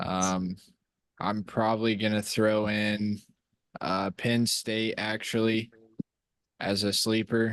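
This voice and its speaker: A man speaks very slowly in a fairly low pitch, with long, frequent pauses. His intonation is monotone and flat, and his loudness very even. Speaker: podcast co-host. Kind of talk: casual chat.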